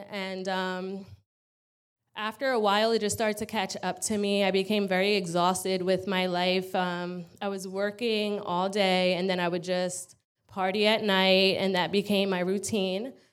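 A woman with a New York accent speaks at a moderate pace and a medium pitch, her intonation flat and monotone. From Long Island, New York. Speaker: recovery program resident. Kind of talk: testimony. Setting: church with congregation.

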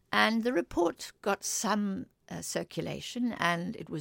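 A woman is heard on a very clean recording with a silent background and a dry, close sound with no echo. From Africa. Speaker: political economist. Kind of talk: interview.

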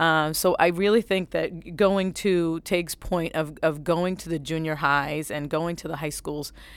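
A woman's fairly low-pitched, ordinary speaking voice with an American accent, fairly even intonation and a moderate pace, on a very clean recording with a silent background. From New Bedford, Massachusetts. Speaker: asset manager. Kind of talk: panel discussion.

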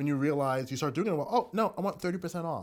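Very fast and with lively intonation, a man with an American accent talks at a fairly high pitch on a very clean recording with a silent background. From US Northeast (Long Island, New York). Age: 40s. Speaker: filmmaker. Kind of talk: interview.

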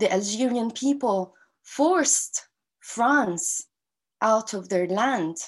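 With an Arabic accent, a woman speaks at a very slow pace. Her fairly high voice carries lively intonation. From Gaza, Palestine. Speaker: activist and university lecturer. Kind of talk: interview. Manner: halting.

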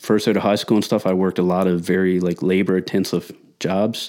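A man speaks at a fairly low pitch. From Newfoundland, Canada. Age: 30s. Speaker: powerlifter and strength coach. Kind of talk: casual chat.

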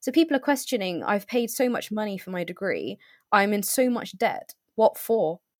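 At a moderate pace, a woman with a normal speaking voice talks at fairly high pitch with lively intonation, the sound dry and close with no echo. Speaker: recent graduate. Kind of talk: interview.

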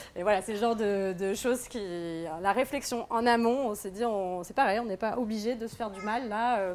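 A woman talks at a moderate pace in a fairly high pitch with ordinary pitch variation, on a very clean recording with a silent background. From France, Normandy. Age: 30s. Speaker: aspiring farmer. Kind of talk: live talk to an audience. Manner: hesitant, many fillers.

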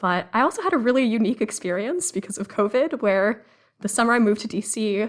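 A woman with an American accent talks at a fairly quick pace in a fairly high pitch. She has ordinary pitch variation and an ordinary speaking voice. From Massachusetts (Cambridge). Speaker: research analyst. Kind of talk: podcast interview.

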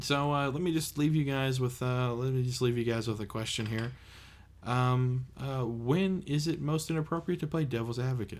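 Moderate in pace, a man talks with an American accent in a plain, everyday voice. His pitch is medium, with ordinary pitch variation. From United States. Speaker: podcast co-host. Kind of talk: casual chat.

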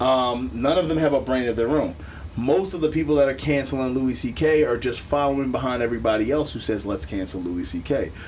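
A man's fairly quick speech with an American accent, medium pitch, lively intonation and audible room echo. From Philadelphia, US. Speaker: podcast host. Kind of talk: casual chat. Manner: animated.

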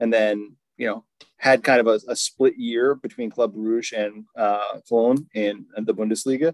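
In a plain, everyday voice of medium pitch, a man talks at a moderate pace with fairly even intonation, the sound dry and close with no echo. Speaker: podcast host. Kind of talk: casual banter about fantasy football draft.

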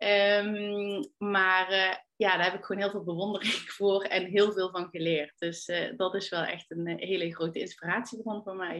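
A woman speaks with an unremarkable speaking voice at a medium pitch. Her intonation stays fairly even, and she hardly pauses at all. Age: 30s. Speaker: stylist and entrepreneur. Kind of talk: casual interview.

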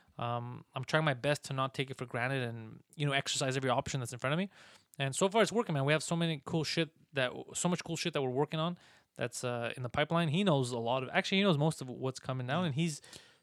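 Very fast and fairly high-pitched, a man speaks with ordinary pitch variation in a dry, close sound with no echo, a very clean recording with a silent background. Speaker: stand-up comedian and podcast producer. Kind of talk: casual chat.

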